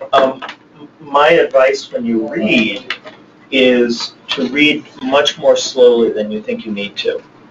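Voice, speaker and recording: A man at a very slow pace, noticeable background noise behind him. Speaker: poet and novelist. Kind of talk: interview Q&A. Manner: occasional stammer; hesitant, many fillers.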